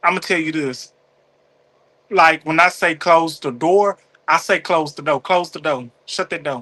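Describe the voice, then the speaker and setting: With a Southern accent, a man speaks at a fairly slow pace in a fairly high, bright and sharp voice, using ordinary pitch variation and long, frequent pauses. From US South, Mississippi. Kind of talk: casual chat. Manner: animated.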